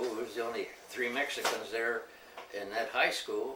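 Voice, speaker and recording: A man talks at a moderate pace. Audible room echo and noticeable background noise surround his voice. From US Midwest (Ohio, Michigan), Mexican family. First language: Spanish. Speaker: family elder telling his life story. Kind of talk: oral history interview.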